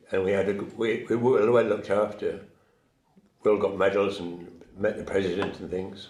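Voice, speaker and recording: In a room with audible echo, a man talks at a moderate pace in a fairly low, monotone, flat voice. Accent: British. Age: 80s+. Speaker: war veteran. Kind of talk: interview. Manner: halting.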